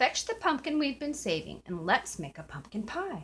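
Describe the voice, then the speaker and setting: A woman's put-on character voice, high and croaky, at a moderate pace. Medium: read story. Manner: impatient, blustering.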